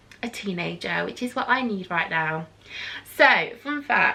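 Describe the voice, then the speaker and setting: Noticeable background noise is present while a woman talks. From England, Nottinghamshire. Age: 30s. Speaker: beauty vlogger. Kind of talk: casual chat. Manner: rambling, hesitant with many ums.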